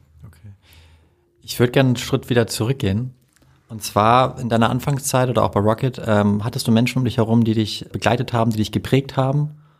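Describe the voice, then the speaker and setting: A normal speaking voice from a man at medium pitch, fairly quick in pace, with fairly even intonation. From Hamburg, Germany. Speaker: podcast host. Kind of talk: interview.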